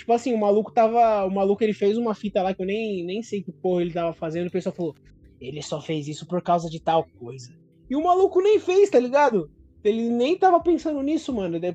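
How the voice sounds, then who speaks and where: Very fast speech over music in the background. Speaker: podcast co-host. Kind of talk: casual chat.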